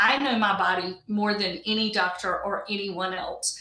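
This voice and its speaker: A woman speaks in a plain, everyday voice at medium pitch. Her pace is fairly slow, with ordinary pitch variation. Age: 60s. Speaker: patient advocate. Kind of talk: interview. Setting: video call.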